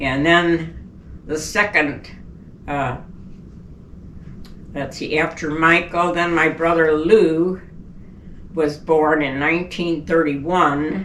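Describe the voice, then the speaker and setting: Amid audible room echo, a woman talks at a very slow pace and a fairly low pitch, using fairly even intonation and long, frequent pauses. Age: 80s+. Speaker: elderly mother telling life story. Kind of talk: oral history interview.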